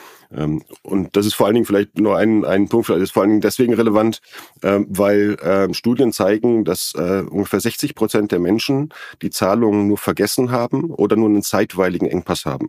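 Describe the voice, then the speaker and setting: A man's fairly low voice with ordinary pitch variation, at a fairly quick pace. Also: dry, close sound with no echo. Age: 40s. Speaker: company founder. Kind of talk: interview. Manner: halting, many fillers.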